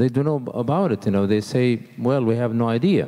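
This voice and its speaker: A man with an Arabic accent, a dark, mellow tone and lively intonation, over a quiet background. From Saudi Arabia. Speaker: architect and accessibility advocate; panelist. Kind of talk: panel discussion. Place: hall. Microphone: handheld.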